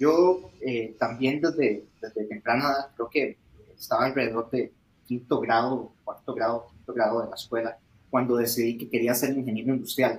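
In a Costa Rican accent, a man talks at a medium pitch with a somewhat breathy voice. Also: fairly even intonation, moderate pace. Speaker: startup founder. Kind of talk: interview.

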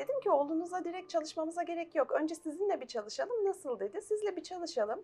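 The pitch swings very widely throughout. The pace is very fast, with hardly any pauses. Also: woman, extremely high pitch for a woman. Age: 40s. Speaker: life coach. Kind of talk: TV interview.

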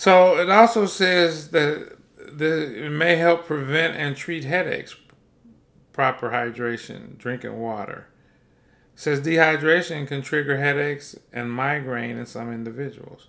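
The speech moves at a fairly slow pace, with big swings in loudness and ordinary pitch variation. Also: man, fairly high pitch for a man. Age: 50s. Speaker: health podcast host and plant-based chef. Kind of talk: solo podcast monologue on health; reading aloud from articles. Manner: casual, animated.

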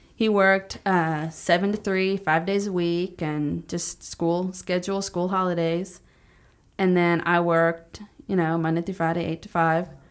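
A woman talks at a fairly slow pace with a fairly low pitch and monotone, flat intonation. The recording is very clean, with a silent background. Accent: American. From Texas, Palestine (East Texas). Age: 20s. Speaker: small business owner, house cleaning. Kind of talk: interview testimony.

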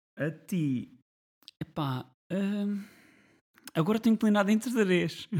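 Delivery is very slow, with long, frequent pauses. The intonation is lively. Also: man, high pitch for a man. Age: 30s. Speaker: podcast co-host. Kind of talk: casual chat.

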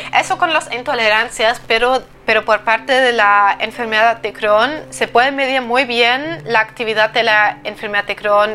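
A woman with a German accent speaks at a moderate pace and a fairly high pitch. Her tone is bright and sharp, with ordinary pitch variation. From eastern Germany. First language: German (speaking Spanish). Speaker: digestive health coach. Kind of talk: solo podcast monologue.

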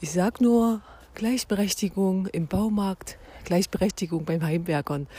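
A woman speaks at a medium pitch with ordinary pitch variation. Her tone is dark and mellow, and somewhat breathy. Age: 40s. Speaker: podcast host. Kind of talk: solo podcast monologue. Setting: at home.

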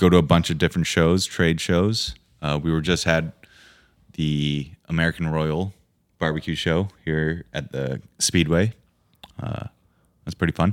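In an Upper Midwest accent, a man with a very deep, low pitch talks at a moderate pace with fairly even intonation and long, frequent pauses, the sound dry and close with no echo. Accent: Upper Midwest (Minnesota). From Minnesota, Fergus Falls. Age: 30s. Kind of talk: casual chat.

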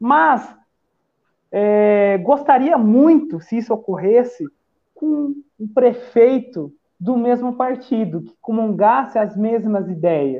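A man with an extremely high pitch and lively intonation at a very slow pace, with long, frequent pauses and big swings in loudness. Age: 40s. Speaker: civil engineer and political activist. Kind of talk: casual political chat.

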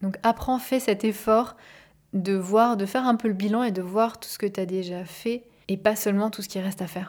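Calm, soothing female voice at medium pitch and a moderate pace, with fairly even intonation and big swings in loudness. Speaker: life coach and podcast host. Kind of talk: personal monologue. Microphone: microphone, not a professional studio.

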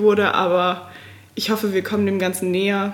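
At a moderate pace, a woman talks in a plain, everyday voice with a medium pitch. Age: 20s. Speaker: student and food-sharing volunteer. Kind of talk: casual interview chat.

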